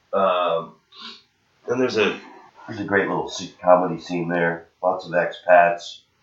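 A man speaks at a moderate pace, leaving long, frequent pauses. Room echo is audible. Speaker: touring comedian. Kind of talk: casual chat. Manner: good cadence.

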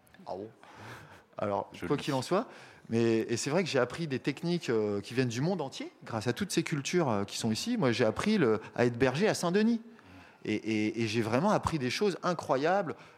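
A man with a medium-pitched voice talks at a moderate pace, his pitch swinging very widely. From France, small town near Paris. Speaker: urban shepherd. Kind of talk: casual talk at a public radio event. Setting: live recording with audience.

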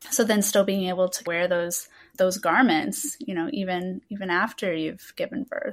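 A woman with a normal speaking voice talks at a moderate pace and a medium pitch with ordinary pitch variation. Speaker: podcast host. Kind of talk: interview, scripted intro.

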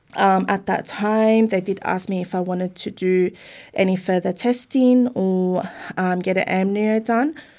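Speaking with an Australian accent, a woman uses a medium pitch, a dark, mellow tone and fairly even intonation at a fairly slow pace. The recording is very clean, with a silent background. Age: 30s. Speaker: parent of a child with Down syndrome. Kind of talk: interview.

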